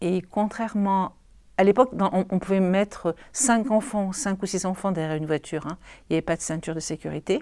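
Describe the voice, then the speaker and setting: A woman's medium-pitched, dark and mellow voice at a fairly quick pace, with ordinary pitch variation, on a very clean recording with a silent background. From southern France, Marseille. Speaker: local resident sharing memories. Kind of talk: interview, recollection.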